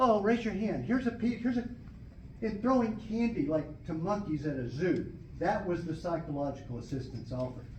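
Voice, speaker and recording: A man talks at a fairly quick pace in a high voice. His pitch swings very widely. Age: 70s. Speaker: law student. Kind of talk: public testimony to a board.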